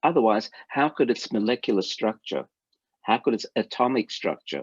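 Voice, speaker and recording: Speaking in an Australian accent at a moderate pace, a man uses a medium pitch with ordinary pitch variation. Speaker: rabbi and lecturer. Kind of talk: lecture. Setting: video call.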